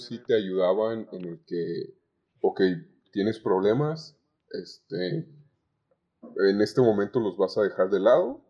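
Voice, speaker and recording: A man speaks with a Mexican accent at a fairly slow pace. His loudness swings widely, and he leaves long, frequent pauses. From Zamora, Michoacán, Mexico. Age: 20s. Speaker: communication student, call center agent. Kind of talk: podcast interview. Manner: halting.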